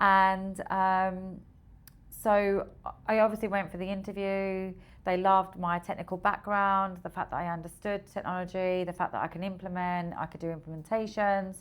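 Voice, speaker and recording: In an Essex accent, the voice moves at a moderate pace with monotone, flat intonation, on a very clean recording with a silent background. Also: woman, medium pitch for a woman. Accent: Essex accent, come out more over the years. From Essex, England. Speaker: recruitment software founder. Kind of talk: podcast interview.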